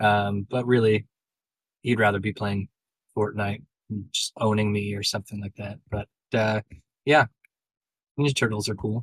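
A man with a fairly low, somewhat breathy voice speaks in a monotone, flat way with long, frequent pauses, and the sound is dry and close with no echo. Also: moderate pace. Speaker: podcast host. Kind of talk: casual chat.

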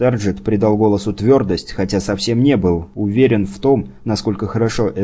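Reading aloud in a natural voice, pitch moving in an ordinary way

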